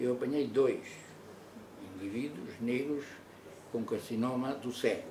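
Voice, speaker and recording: Through noticeable background noise, a man speaks fairly slowly with a dark, mellow tone and fairly even intonation. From Mozambique. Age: 80s+. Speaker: retired doctor. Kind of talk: testimony; interview answer. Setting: studio. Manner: halting. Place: meeting room.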